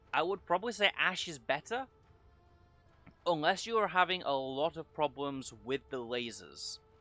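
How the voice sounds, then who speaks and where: Over music in the background, a man speaks at a moderate pace in a fairly high voice with very wide pitch swings. The sound is dry and close, with no echo. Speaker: gaming youtuber. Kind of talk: unscripted gameplay commentary. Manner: halting.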